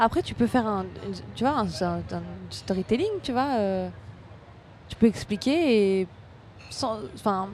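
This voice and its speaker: The speech is very slow, broken by long, frequent pauses. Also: woman. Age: 30s. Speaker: stand-up comedian. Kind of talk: casual chat.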